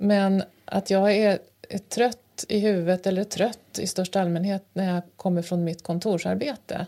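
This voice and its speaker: A woman's medium-pitched voice with a dark, mellow tone and fairly even intonation at a fairly slow pace, in a very clean recording with a silent background. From rural Sweden, grew up on a farm. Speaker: podcast co-host. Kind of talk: casual chat. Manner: halting, many fillers.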